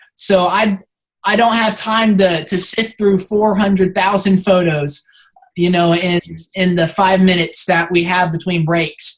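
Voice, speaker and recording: A woman at medium pitch speaks fairly slowly and somewhat breathily, her intonation fairly even and her loudness very even. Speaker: team lead briefing photographers. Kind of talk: instructional team briefing.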